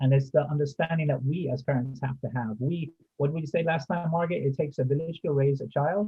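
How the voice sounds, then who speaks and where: Very fast, with hardly any pauses, a man's fairly high voice in an American accent, with ordinary pitch variation. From United States. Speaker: community safety volunteer, ex-military. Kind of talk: group discussion.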